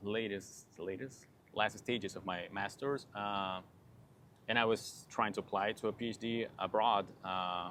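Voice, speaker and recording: In a Spanish accent, a man with a fairly low pitch and a bright, sharp tone speaks at a fairly slow pace with fairly even intonation. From Peru. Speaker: PhD student, plant biologist. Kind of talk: podcast interview. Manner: halting.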